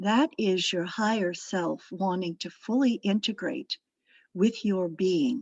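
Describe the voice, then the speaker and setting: The speaker uses lively intonation at a fairly slow pace. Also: woman. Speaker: meditation guide. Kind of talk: spiritual talk to a meditation circle.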